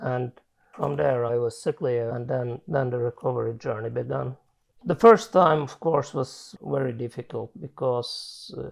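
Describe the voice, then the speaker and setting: With a Swedish accent, a man talks at a medium pitch with ordinary pitch variation. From Finland. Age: 40s. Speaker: chronic illness patient. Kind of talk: testimony. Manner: halting.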